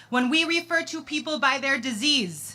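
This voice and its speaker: Against noticeable background noise, a woman uses a raised, projected voice at a moderate pace with ordinary pitch variation. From US Midwest, Chicago. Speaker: advocate, bereaved sister. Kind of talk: rally speech. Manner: impassioned.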